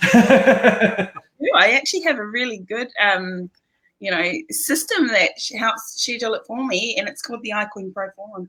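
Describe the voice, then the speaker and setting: A woman with a New Zealand accent talks at a moderate pace in a fairly high pitch, her intonation lively and her loudness swinging widely. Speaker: stay-at-home mom turned crypto day trader. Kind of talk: live stream interview. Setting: live video stream.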